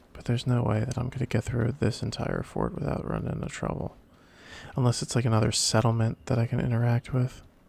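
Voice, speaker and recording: Soft-spoken with vocal fry, a man talks at a very fast pace in a monotone, flat intonation at medium pitch. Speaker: let's play gamer. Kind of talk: gameplay commentary. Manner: casual.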